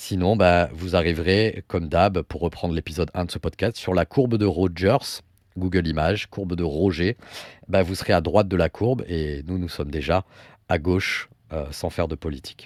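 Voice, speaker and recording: Speech comes at a moderate pace with ordinary pitch variation. The recording is very clean and dry, close with no echo and a silent background. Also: man, very deep, low pitch for a man. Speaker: podcast host. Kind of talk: casual podcast conversation.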